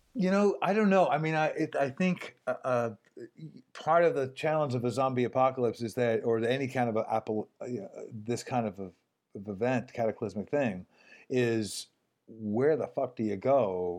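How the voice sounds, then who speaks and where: A man with an unremarkable speaking voice and an American accent, at medium pitch and moderate pace, with lively intonation. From New York City. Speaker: voice actor. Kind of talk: casual chat.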